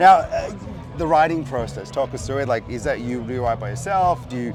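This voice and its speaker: Over music in the background, a man talks at a fairly quick clip, his medium pitch moving with ordinary variation. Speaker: podcast host. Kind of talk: casual interview questions. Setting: outdoors.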